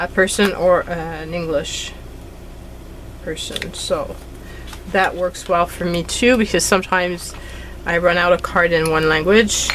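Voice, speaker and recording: A woman with a Quebec accent speaks at a fairly slow pace and fairly low pitch, with fairly even intonation, long, frequent pauses and noticeable background noise. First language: French. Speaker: craft YouTuber. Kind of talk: crafting tutorial. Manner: casual, chatty.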